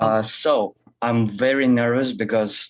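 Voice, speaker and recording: A man with a Russian accent speaks very slowly at a medium pitch. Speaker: caller. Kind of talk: call-in conversation. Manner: halting.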